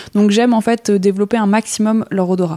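Fairly even intonation in a dark, mellow tone, delivered at a moderate pace. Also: woman. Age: 30s. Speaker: dog breeder. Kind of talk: casual interview. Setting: at guest's home with puppies.

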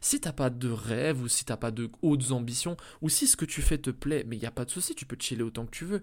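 Delivery comes at a fairly quick pace. The pitch varies in an ordinary way. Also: man, medium pitch for a man. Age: 20s. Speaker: entrepreneur podcast host. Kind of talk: solo motivational monologue. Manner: casual, energetic.

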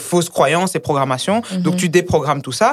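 A very fast-talking woman on a very clean recording with a silent background. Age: young. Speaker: independent cook and entrepreneur. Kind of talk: casual chat.

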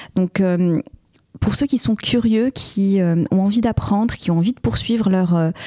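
A woman with a medium pitch and ordinary pitch variation is heard in a dry, close sound with no echo, with noticeable background noise. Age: 30s. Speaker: trainee chartered accountant and entrepreneur. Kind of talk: podcast interview.

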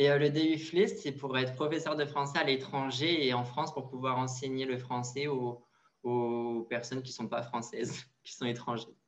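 It's a plain, everyday voice from a man. He speaks at a medium pitch with ordinary pitch variation. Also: moderate pace. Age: 20s. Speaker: fashion model and university student. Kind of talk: interview.

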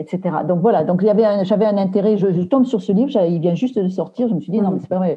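Here a woman sounds somewhat breathy at a medium pitch. Her pitch variation is ordinary. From Aveyron, southern France. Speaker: book editor and novelist. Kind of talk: interview. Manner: halting, many repetitions and hesitations.

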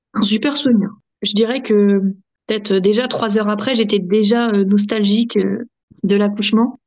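At a fairly slow pace, a woman speaks in a fairly high pitch. Her intonation is flat and monotone, and her loudness stays very even. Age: 30s. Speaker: mother sharing birth story. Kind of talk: casual interview testimony.

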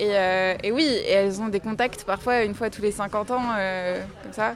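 Here a woman with a plain, everyday voice speaks at fairly high pitch with ordinary pitch variation. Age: 20s. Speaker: book lover guest. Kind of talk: casual chat.

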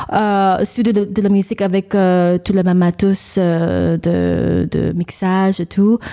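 A woman at a medium pitch and a very slow pace. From New York, Long Island. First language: English (speaking French). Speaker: singer and vocal coach. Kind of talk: radio interview. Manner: halting.

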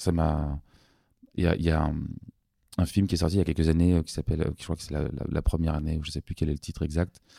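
The sound is dry and close, with no echo. A man speaks at a very deep, low pitch in a dark, mellow tone. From Paris, France. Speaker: doctor turned music producer. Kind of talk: interview. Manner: halting.

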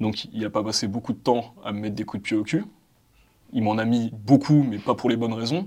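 A man speaks with a dark, mellow tone and ordinary pitch variation. His pace is fairly quick. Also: medium pitch for a man. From France, Val-d'Oise suburbs (cité). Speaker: debate participant. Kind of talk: casual debate.

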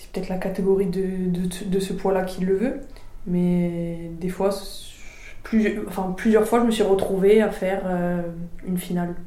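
Audible room echo and noticeable background noise surround the voice. Delivery is very slow and monotone with flat intonation, broken by long, frequent pauses. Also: woman. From Corsica. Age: 20s. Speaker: boxer and boxing coach. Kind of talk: interview.

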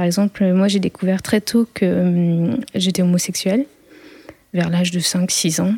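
A woman's somewhat breathy voice at medium pitch, fairly slow, with very even loudness. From rural France. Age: 30s. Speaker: sound engineering student, bullying survivor. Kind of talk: testimony. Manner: halting, many hesitations and repeated words.

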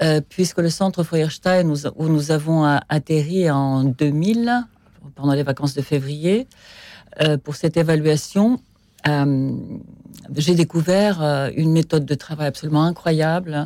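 Very slow delivery with long, frequent pauses, very even loudness, ordinary pitch variation and a dark, mellow tone. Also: woman, very deep, low pitch for a woman. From Soviet Union. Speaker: film director and mother. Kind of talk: interview. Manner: hesitant.

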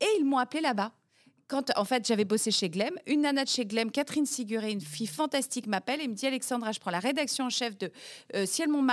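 A woman talks very fast in an animated tone, with a high pitch and very wide pitch swings. The recording is very clean, with a silent background. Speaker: head of national Eurovision delegation and TV executive. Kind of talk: interview.

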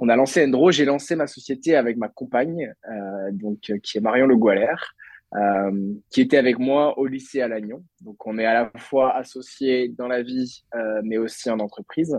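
A man has an unremarkable speaking voice at a medium pitch. He talks at a fairly slow pace with ordinary pitch variation. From Brittany, France (Lannion). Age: 20s. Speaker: entrepreneur. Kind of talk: interview.

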